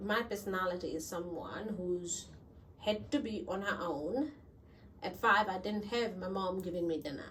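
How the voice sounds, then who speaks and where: The speech moves at a moderate pace with ordinary pitch variation, audible room echo and noticeable background noise. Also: woman, medium pitch for a woman. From Fiji. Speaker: school leader and educator. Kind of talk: interview. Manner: halting.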